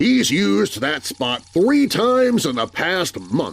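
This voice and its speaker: A man puts on a character voice with a high pitch and very wide pitch swings. He speaks at a fairly slow pace. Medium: read story. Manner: petulant, bossy.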